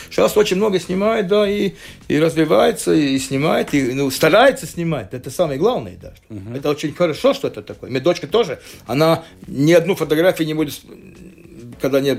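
A man's fairly high voice at a fairly quick pace, with lively intonation and big swings in loudness. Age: 60s. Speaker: sports photographer. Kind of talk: casual chat. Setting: studio. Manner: halting.

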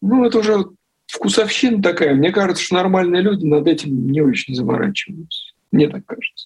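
A man with a high voice talks at a fairly quick pace with lively intonation. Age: 40s. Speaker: journalist and watch collector. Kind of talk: interview.

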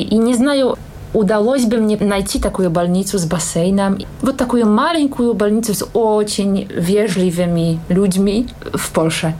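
A woman with a Polish accent speaks at a moderate pace, her intonation lively and her loudness very even. Noticeable background noise and audible room echo come through. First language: Polish (speaking Russian). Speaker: singer and language teacher. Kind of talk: interview.

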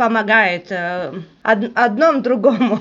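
With a Latvian accent, a woman speaks at a fairly high pitch with ordinary pitch variation. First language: Latvian (speaking Russian). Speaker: charity foundation board chair. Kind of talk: radio interview. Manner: halting, many fillers.

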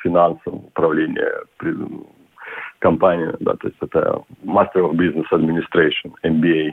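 A man talks fairly slowly, with long pauses coming often. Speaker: yachtsman and businessman. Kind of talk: radio interview.

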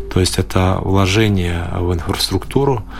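A man's very deep, low voice, with audible room echo and noticeable background noise. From Latvia, Daugavpils. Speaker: mayor, politician. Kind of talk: radio interview. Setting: studio.

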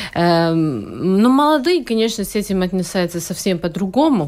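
A woman talks at a moderate pace in a medium pitch. Her intonation is lively. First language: Latvian (speaking Russian). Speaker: proctologist. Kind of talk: radio interview. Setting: studio.

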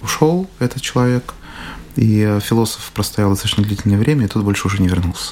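Over noticeable background noise, a man talks very fast at a medium pitch, with ordinary pitch variation. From Russia. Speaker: business trainer and psychologist. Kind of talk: radio interview.

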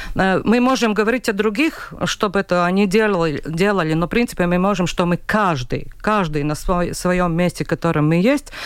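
A woman speaks at medium pitch and a moderate pace, with ordinary pitch variation and very even loudness. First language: Latvian (speaking Russian). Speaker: regional newspaper editor. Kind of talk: radio panel discussion. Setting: radio studio. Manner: halting.

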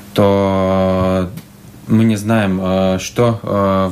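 A man's fairly low-pitched voice. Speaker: municipal housing company head. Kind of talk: radio interview. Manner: halting.

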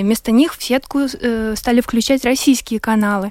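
A woman talks at a moderate pace with ordinary pitch variation. Her pitch is high. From Ukraine, Luhansk. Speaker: war refugee and activist. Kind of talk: radio discussion.

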